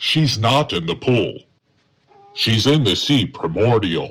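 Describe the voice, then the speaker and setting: In a put-on character voice, a man speaks at a medium pitch and a fairly slow pace. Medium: audio drama. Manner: polite, deferential.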